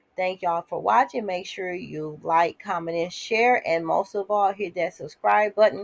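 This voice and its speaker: On a very clean recording with a silent background, a woman speaks at medium pitch. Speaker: YouTube reality TV commentator. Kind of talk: casual commentary recap. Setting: home, alone in a room.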